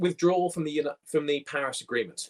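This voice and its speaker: A man with an American accent is recorded dry and close, with no echo. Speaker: conservationist and panel moderator. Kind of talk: scripted opening remarks. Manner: formal.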